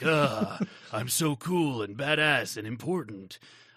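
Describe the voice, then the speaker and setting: Doing a guttural put-on character voice, a man at medium pitch speaks with lively intonation at a fairly slow pace. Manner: swaggering, boastful.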